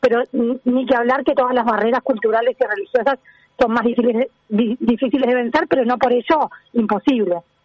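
A woman's high pitch with ordinary pitch variation, very even loudness, and a fairly quick pace. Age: 40s. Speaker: sustainability agency director. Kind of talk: interview.

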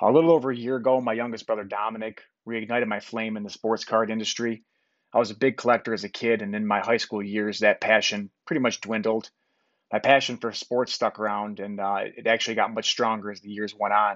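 A man with an unremarkable speaking voice holds a medium pitch and fairly even intonation while talking at a fairly quick pace. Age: 30s. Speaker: podcast host and insurance salesman. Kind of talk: solo podcast explainer. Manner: casual with frequent fillers.

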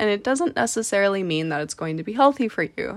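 The speaker is a woman with a Canadian accent. She has a plain, everyday voice at medium pitch. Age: 20s. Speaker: podcast host and fashion model. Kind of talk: solo podcast monologue.

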